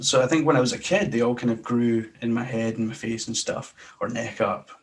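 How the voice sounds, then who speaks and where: There is noticeable background noise as a man with a Scottish accent speaks at a fairly quick pace. His medium pitch shows ordinary variation. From Glasgow, Scotland. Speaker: sports podcaster. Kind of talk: interview answer.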